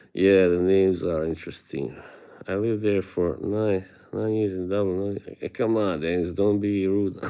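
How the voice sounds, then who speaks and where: With an Eastern European accent, the speaker has a dark, mellow tone, a moderate pace and fairly even intonation. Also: man, very deep, low pitch for a man. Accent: Eastern European (Slavic), moderate. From Bosnia. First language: Bosnian. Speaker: streamer. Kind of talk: casual live-stream chat with viewers. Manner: halting.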